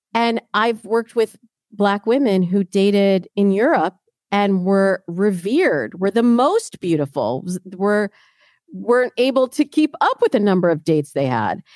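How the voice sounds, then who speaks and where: A woman with an American accent talks at a fairly slow pace with lively intonation. The sound is dry and close, with no echo. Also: medium pitch for a woman. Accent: slight Midwest accent, can put it back on. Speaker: dating coach. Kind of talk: casual interview.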